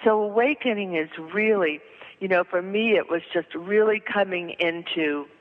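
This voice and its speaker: A woman's medium-pitched voice, with ordinary pitch variation and a moderate pace, comes through noticeable background noise. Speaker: spiritual teacher and author. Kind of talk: interview. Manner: halting.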